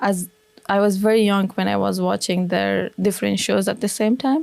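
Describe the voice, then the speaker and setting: Moderate pace in an Afghan accent. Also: woman. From Afghanistan, Kabul. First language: Dari. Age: young. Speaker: former military interpreter, refugee. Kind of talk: interview. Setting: studio.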